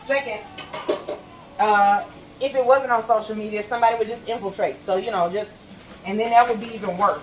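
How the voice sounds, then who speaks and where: Noticeable background noise behind a woman's moderately paced speech, pitch varying in an ordinary way. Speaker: vlogger. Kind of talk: casual monologue while cooking. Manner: loud; talkative.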